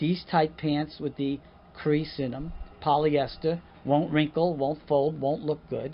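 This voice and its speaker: At a moderate pace, a man with fairly high pitch speaks with a New York accent. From Long Island, New York. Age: 50s. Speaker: actor and comedian. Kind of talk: casual interview chat. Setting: outdoors on a dock by the water. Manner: animated.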